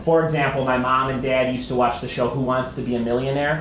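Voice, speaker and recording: A man with a Chicago accent talks at a very fast pace. The room echo is audible, and background noise is noticeable. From US Midwest, Chicago. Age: 30s. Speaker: comedian and writer. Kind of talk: talk to an audience.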